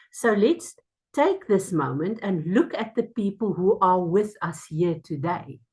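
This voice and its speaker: A woman speaks at a medium pitch and a fairly slow pace. Her voice is somewhat breathy, with lively intonation. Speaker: mindfulness speaker. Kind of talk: talk to a small group. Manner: halting.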